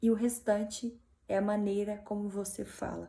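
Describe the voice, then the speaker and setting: Somewhat breathy and fairly high, a woman's dark, mellow voice unfolds at a fairly slow pace. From Minas Gerais, Brazil. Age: 20s. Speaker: motivational speaker. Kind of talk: talk.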